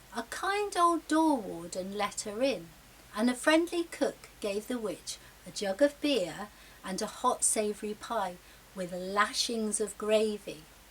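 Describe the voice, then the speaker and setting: At a fairly slow pace, a put-on character voice is heard over clear background noise. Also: woman, fairly high pitch for a woman. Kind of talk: children's story reading.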